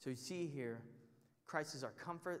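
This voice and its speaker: An animated tone in a Texan accent, with ordinary pitch variation and audible room echo. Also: man. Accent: Texan American. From Texas, near Houston. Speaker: Bible study teacher. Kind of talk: sermon.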